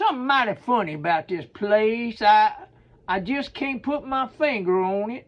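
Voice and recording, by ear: Reading aloud in a natural voice. The words are read plainly.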